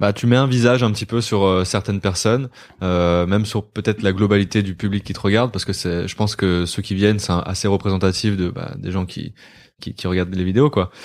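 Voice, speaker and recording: The recording is very clean, with a silent background. A man speaks at a fairly quick pace with fairly even intonation. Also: fairly low pitch for a man. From Brittany, Côtes-d'Armor. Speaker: YouTuber. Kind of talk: casual chat. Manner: halting.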